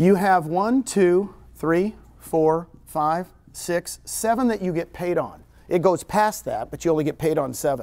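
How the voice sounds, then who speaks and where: In a very clean recording with a silent background, a loud man with a high pitch speaks at a fairly slow pace with ordinary pitch variation. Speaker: real estate broker and recruiter. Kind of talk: seminar talk. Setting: room with live audience, no microphone. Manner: animated.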